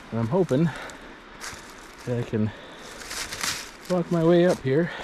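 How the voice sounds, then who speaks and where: Lively intonation runs through speech at a moderate pace. Background noise is noticeable throughout. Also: man, fairly high pitch for a man. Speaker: outdoors vlogger. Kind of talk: vlog. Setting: outdoors. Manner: casual, thinking aloud; loud.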